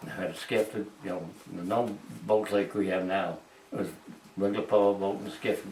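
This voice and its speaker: A man with a Maine accent speaks at a fairly low pitch and a moderate pace. His intonation is fairly even, broken by long, frequent pauses. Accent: rural Maine. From Maine, USA. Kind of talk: oral history reminiscence.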